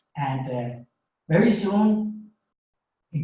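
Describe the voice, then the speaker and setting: With a Danish accent, a man speaks at a very slow pace in a dark, mellow tone that is somewhat breathy, with ordinary pitch variation and audible room echo. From Denmark. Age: 50s. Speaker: coach and author. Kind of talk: webinar presentation. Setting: small home studio. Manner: halting, with many fillers.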